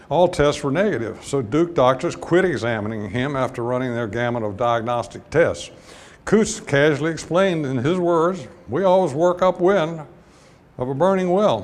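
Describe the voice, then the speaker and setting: Lively intonation with audible room echo. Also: man, fairly high pitch for a man, moderate pace. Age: 80s+. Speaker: retired petroleum geologist. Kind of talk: lecture. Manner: halting.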